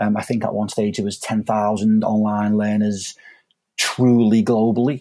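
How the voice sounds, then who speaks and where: At a moderate pace, the speaker's tone comes across dark and mellow. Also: man. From northern England, inner-city Liverpool. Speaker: online education executive. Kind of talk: podcast interview. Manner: hesitant, many fillers.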